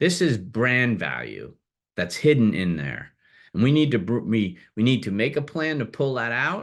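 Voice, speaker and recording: Against a quiet background, a man in a normal speaking voice talks at a moderate pace and medium pitch with lively intonation. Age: 60s. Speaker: business broker CEO hosting a webinar. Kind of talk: webinar presentation. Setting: online webinar.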